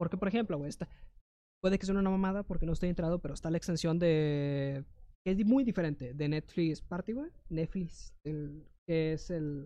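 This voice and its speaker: The speaker talks at a moderate pace with a Mexican accent. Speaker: podcast co-host. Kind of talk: casual chat. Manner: animated.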